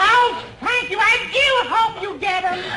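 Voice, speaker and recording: A put-on character voice with an extremely high pitch and ordinary pitch variation. It moves at a fairly slow pace over light background noise. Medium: short film. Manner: fluttery, prim.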